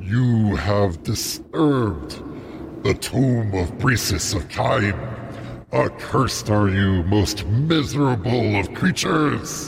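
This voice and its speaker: A loud, booming put-on character voice from a man, fairly low in pitch and very slow, with clear background noise. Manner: menacing, cursing.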